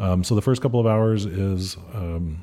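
A man with an American accent speaks in a very deep, low voice with a dark, mellow tone. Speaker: fire chief. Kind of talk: interview answers.

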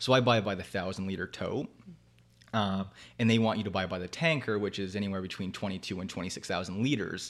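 A man with a Canadian accent and an ordinary speaking voice, fairly low pitch, ordinary pitch variation, fairly quick pace, big swings in loudness, in a very clean recording with a silent background. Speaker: whisky distillery founder. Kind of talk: casual chat.

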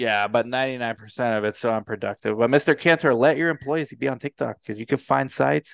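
A man with a normal speaking voice, medium pitch, ordinary pitch variation, a moderate pace and hardly any pauses. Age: 40s. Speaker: podcast host and research site owner. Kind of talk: sponsor reads; casual interview chat.

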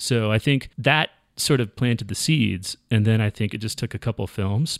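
An unremarkable speaking voice from a man, medium in pitch with ordinary pitch variation, at a fairly quick pace on a very clean recording with a silent background. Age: 40s. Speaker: music supervisor for film and television. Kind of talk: casual interview chat.

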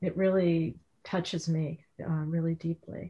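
Dark, mellow tone from a woman at fairly low pitch, somewhat breathy, with fairly even intonation. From Connecticut. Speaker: novelist. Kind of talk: author interview.

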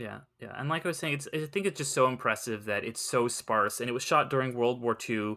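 At a fairly quick pace with hardly any pauses, a man with an American accent speaks at medium pitch with ordinary pitch variation, on a very clean recording with a silent background. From Southern California. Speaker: freelance entertainment writer and podcaster. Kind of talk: casual chat. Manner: hesitant, many fillers.

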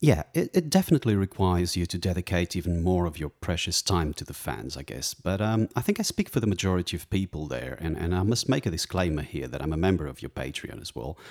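On a very clean recording with a silent background and a dry, close sound with no echo, a man with a very deep, low pitch and vocal fry talks at a very fast pace with hardly any pauses. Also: lively intonation. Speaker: radio host. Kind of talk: interview.

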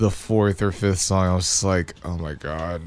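With a normal speaking voice and ordinary pitch variation, a man speaks at a fairly slow pace in a very clean recording with a silent background. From Victoria, Texas. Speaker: musician (bass player). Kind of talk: casual chat. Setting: studio, in person.

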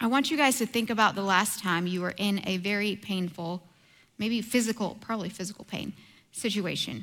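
Soft-spoken, a woman talks on a very clean recording with a silent background. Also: medium pitch for a woman, ordinary pitch variation, fairly quick pace. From India. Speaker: church teacher. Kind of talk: sermon. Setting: church.

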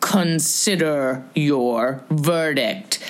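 A woman growls in a put-on character voice. Her pitch is very deep and low. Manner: trembling, shaken.

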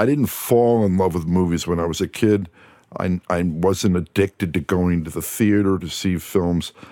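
A man with an American accent speaks at a very deep, low pitch in a dark, mellow tone, at a moderate pace with ordinary pitch variation, the sound dry and close with no echo. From US Northeast, New Jersey shore. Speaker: film composer. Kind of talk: interview. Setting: studio.

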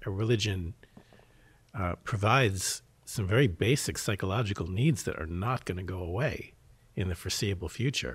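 Somewhat breathy, fairly low male voice at a moderate pace with ordinary pitch variation, on a very clean recording with a silent background. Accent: American. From US Northeast, Philadelphia. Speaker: mental health worker. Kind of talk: casual chat.

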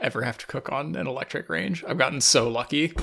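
Using a plain, everyday voice, a man speaks at a medium pitch with lively intonation. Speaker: podcast co-host. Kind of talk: casual chat. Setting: remote recording.

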